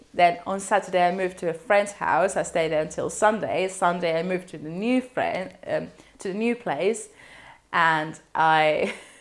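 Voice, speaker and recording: A woman talks with a Spanish accent at a moderate pace. Her pitch is medium, with ordinary variation. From Spain. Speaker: university student. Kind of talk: casual talk to camera.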